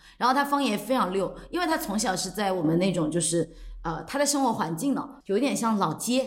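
A woman talks at a fairly quick pace, her pitch making very wide swings. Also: medium pitch for a woman. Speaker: podcast host. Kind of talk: casual chat.

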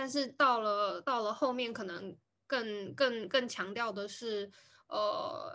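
A woman speaks at a very slow pace in a fairly high pitch with ordinary pitch variation. Her tone is bright and sharp. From Taiwan. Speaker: podcast host. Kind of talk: casual chat. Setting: video call recording.

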